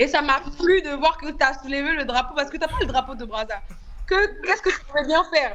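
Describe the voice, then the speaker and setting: A woman's high-pitched voice at a fairly quick pace, with noticeable background noise. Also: lively intonation. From Republic of the Congo, Brazzaville. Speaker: reality TV contestant. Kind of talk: interview.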